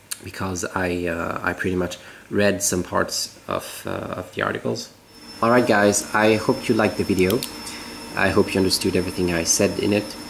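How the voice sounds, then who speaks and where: A man speaks in a very deep, low voice with a French accent and ordinary pitch variation. His pace is moderate, and there is noticeable background noise. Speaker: natural cosmetics maker. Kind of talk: tutorial. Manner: halting.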